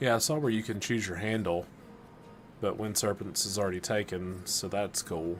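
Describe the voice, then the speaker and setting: Music plays in the background as a man with an American accent speaks in a fairly low pitch. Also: ordinary pitch variation, moderate pace. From US South, Alabama. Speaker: gaming streamer. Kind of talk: live stream chat with viewers. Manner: casual, conversational.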